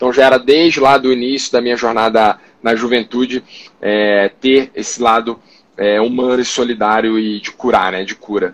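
A man with an unremarkable speaking voice, medium pitch, fairly even intonation and moderate pace. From Rio de Janeiro, Brazil. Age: 30s. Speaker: doctor and startup founder. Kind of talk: casual interview livestream. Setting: online live stream.

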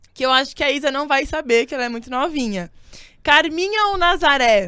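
A raised, projected voice carries at a moderate pace. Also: woman. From São Bernardo do Campo, ABC Paulista, Brazil. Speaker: podcast host. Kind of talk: casual chat. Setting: video call.

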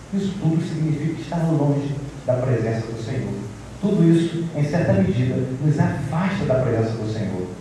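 A man with a fairly high pitch talks at a moderate pace with lively intonation, over noticeable background noise. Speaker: preacher. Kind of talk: expository sermon. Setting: church. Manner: earnest, exhorting, formal.

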